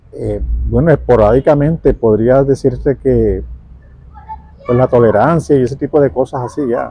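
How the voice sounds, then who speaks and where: A man speaks at a moderate pace with long, frequent pauses. Noticeable background noise runs underneath. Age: 40s. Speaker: pool worker. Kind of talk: interview. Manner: halting.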